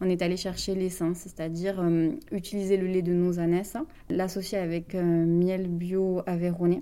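Fairly low in pitch with a dark, mellow tone, a woman speaks at a fairly slow pace in a monotone, flat intonation. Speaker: cosmetics company co-founder. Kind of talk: radio interview.

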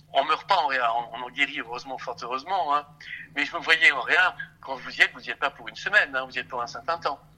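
Talking very fast, a man with a fairly high voice shows big swings in loudness and ordinary pitch variation. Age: 60s. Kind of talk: phone interview.

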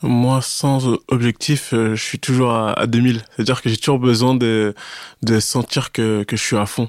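A man speaks fairly slowly at a medium pitch, monotone and flat. The recording is very clean with a silent background, and the sound is dry and close with no echo. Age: 30s. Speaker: amateur fitness competitor. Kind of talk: casual interview. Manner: halting, with frequent repetitions.

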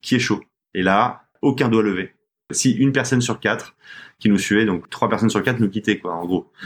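On a very clean recording with a silent background, a man speaks at a fairly low pitch. His pace is moderate, with ordinary pitch variation. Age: 30s. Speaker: fashion brand co-founder. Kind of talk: casual interview. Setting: studio, in person with masks. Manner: halting, many repetitions.

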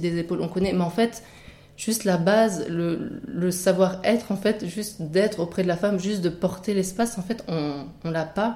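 A woman at a moderate pace and fairly low pitch, with fairly even intonation and an unremarkable speaking voice. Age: 30s. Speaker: midwifery student. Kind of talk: interview testimony.

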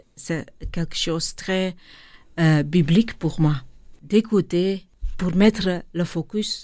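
A woman with a Flemish accent, fairly low pitch and a dark, mellow tone, speaking at a very slow pace with ordinary pitch variation, on a very clean recording with a silent background. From Flanders, Belgium (born in India, adopted at 6). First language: Dutch (Flemish) (speaking French). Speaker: charity director. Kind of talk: interview. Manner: halting.

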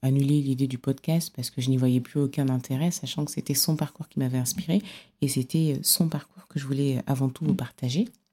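A woman's very deep, low voice with a dark, mellow tone, ordinary pitch variation and a moderate pace. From Cameroon. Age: 30s. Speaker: podcast host. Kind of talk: solo podcast monologue.

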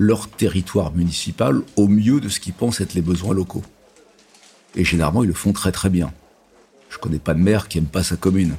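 Through noticeable background noise, a man talks at a moderate pace in a very deep, low pitch with ordinary pitch variation. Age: 50s. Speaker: real estate company executive. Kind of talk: interview.

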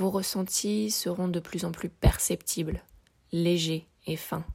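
A woman's fairly low voice with vocal fry, a very slow pace, and a very clean recording over a silent background. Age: 30s. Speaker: energy healer and podcast host. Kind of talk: solo podcast talk explaining exercises.

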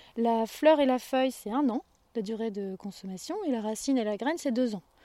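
Dark and mellow in tone, the voice moves at a fairly quick pace with lively intonation in a dry, close sound with no echo. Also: woman. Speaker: herbalist farmer. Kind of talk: casual interview.

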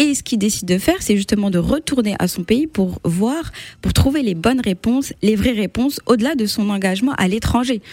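Her fairly high-pitched voice is somewhat breathy, and this woman speaks with lively intonation. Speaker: literature blogger. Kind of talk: radio interview. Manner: hesitant.

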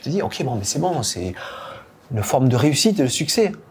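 Talking at a fairly quick pace, a man uses a fairly high pitch with very wide pitch swings. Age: 50s. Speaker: company founder and CEO. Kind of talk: podcast interview. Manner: halting, with frequent repetitions.

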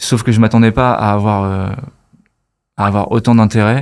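A man at a moderate pace, fairly low in pitch with fairly even intonation, in a very clean recording with a silent background. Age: 30s. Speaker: marketing agency founder. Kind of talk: casual chat.

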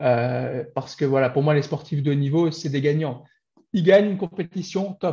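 Fairly high-pitched male voice, dark and mellow in tone, somewhat breathy, with ordinary pitch variation at a moderate pace. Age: 40s. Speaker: business coach. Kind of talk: interview. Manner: halting.

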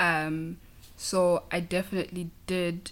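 A woman speaks with a Zulu accent. Her pitch is fairly low. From South Africa, KwaZulu-Natal. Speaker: auditor at an accounting firm. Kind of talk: interview conversation.

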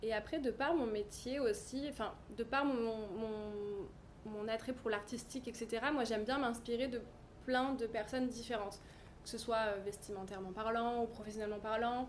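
A woman speaks in an unremarkable speaking voice at a fairly high pitch. Her intonation is fairly even and her pace fairly slow. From French Riviera, Cannes. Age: 30s. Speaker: fashion stylist and business founder. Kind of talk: interview. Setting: showroom.

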